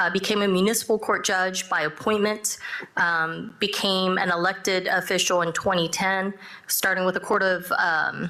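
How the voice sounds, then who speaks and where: A woman talks at a moderate pace and medium pitch. Her intonation is fairly even. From Texas (Dallas area), born in South Korea. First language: Korean. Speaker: judge. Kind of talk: panel discussion. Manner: halting, many fillers.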